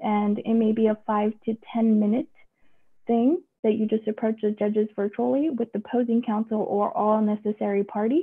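A woman with an American accent speaks at a moderate pace in an unremarkable speaking voice, her pitch fairly high. Her intonation stays fairly even over a quiet background. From Texas. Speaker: judge. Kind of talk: informational video update to the public. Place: office. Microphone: video call.

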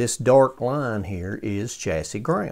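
This man's voice has a dark, mellow tone. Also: quiet background. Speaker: radio restorer. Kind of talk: tutorial. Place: workshop. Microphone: phone near.

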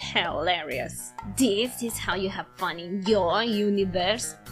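Backed by clear music, a female-sounding put-on character voice at a middle pitch speaks at a fairly slow pace. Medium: dub. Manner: harsh, scornful.

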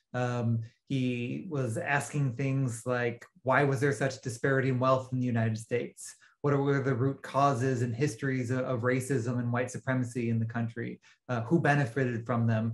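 His voice somewhat breathy, a man speaks in a monotone, flat intonation at a moderate pace. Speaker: guest. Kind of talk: interview answer. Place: home room. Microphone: video call.

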